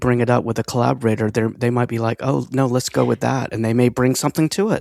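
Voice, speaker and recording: This man has a normal speaking voice with an American accent, a medium pitch and fairly even intonation. The sound is dry and close with no echo. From Texas, Marble Falls. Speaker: podcast host. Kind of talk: casual interview.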